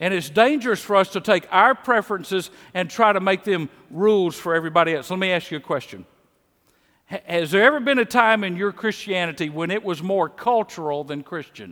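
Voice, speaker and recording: With a Mississippi accent, a man talks in a high pitch and a bright, sharp tone with ordinary pitch variation, on a very clean recording with a silent background. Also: fairly quick pace. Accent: Southern US (Mississippi). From Mississippi, US South. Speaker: pastor. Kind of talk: sermon. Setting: church.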